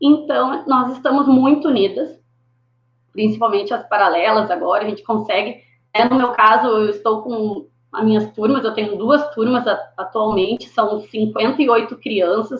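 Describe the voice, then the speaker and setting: A woman speaks with an unremarkable speaking voice at a moderate pace. Her pitch sits fairly high, with ordinary variation. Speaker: schoolteacher. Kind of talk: panel discussion on live stream.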